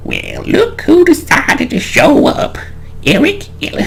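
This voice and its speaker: Over clear background noise, a man uses a gruff put-on character voice at a fairly slow pace. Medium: game stream.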